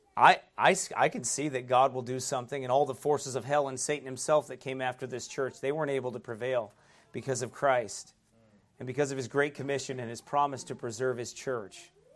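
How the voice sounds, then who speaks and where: This is a normal speaking voice from a man of medium pitch. He talks at a fairly quick pace with fairly even intonation. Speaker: pastor. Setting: church. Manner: earnest and exhorting, with rhetorical questions and chuckles; conversational with frequent fillers and restarts.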